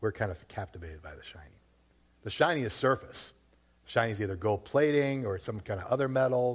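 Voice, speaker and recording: A man with an American accent speaks at a fairly quick pace against a quiet background. His somewhat breathy voice shows big swings in loudness. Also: medium pitch for a man, lively intonation. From Massachusetts, Worcester. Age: 40s. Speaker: pastor. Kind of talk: sermon. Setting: church.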